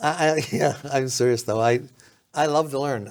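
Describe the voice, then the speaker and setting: He has a normal speaking voice with an American accent. A man, his intonation is fairly even. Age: 60s. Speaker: county politician and former sheriff. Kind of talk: casual interview.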